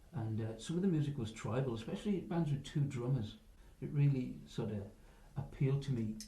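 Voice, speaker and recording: A somewhat breathy man's voice of medium pitch and dark, mellow tone at a fairly quick pace, with audible room echo. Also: ordinary pitch variation. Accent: English. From northern England, Workington, Cumbria. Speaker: rock musician, drummer. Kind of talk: interview.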